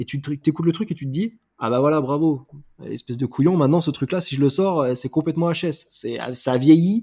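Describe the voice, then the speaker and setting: Here a man speaks at a moderate pace with a fairly high pitch and ordinary pitch variation. His tone is dark and mellow, and the recording is very clean with a silent background. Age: 30s. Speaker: musician and multi-disciplinary creative. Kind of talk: casual interview. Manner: animated.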